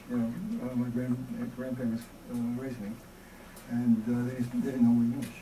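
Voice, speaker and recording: Amid audible room echo and noticeable background noise, a man speaks at a medium pitch with ordinary pitch variation. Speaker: experimental filmmaker. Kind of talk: Q&A after a lecture. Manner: halting.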